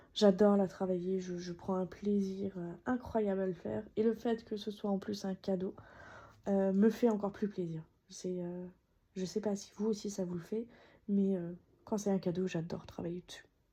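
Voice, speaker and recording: Over a quiet background, a woman with a dark, mellow tone and a somewhat breathy medium pitch speaks at a moderate pace in a monotone, flat intonation. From France, Alsace. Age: 30s. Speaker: cross-stitch YouTuber. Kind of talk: casual craft progress video. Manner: hesitant with many fillers.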